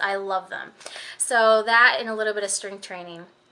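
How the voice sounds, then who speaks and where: Against noticeable background noise, a woman with an American accent talks at a fairly quick pace in a fairly high pitch. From Illinois, US Midwest. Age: 20s. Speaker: vlogger, stay-at-home mom. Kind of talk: casual vlog, tag questions.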